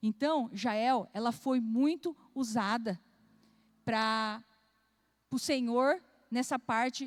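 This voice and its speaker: A woman speaks at a high pitch with ordinary pitch variation. The recording is very clean, the background silent. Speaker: pastor. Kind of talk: sermon.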